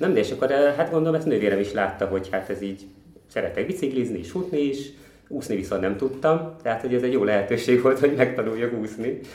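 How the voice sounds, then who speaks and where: A man's medium-pitched voice rushes along very fast. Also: lively intonation. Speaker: ultra runner. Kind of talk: interview.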